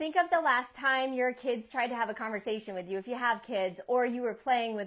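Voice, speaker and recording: A high-pitched woman's voice at a fairly quick pace, on a very clean recording with a silent background. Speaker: life coach. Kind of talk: live video tip talk. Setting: live Facebook video.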